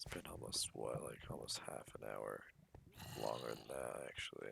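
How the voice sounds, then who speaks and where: The speaker is soft-spoken. The pace is moderate. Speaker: gaming youtuber. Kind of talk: gameplay commentary. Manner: casual, rambling.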